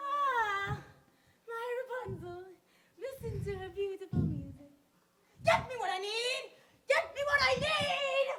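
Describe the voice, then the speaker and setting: A put-on character voice, female-sounding, with extremely high pitch. It moves at a fairly slow pace with long, frequent pauses. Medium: stage play. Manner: bossy, sharp.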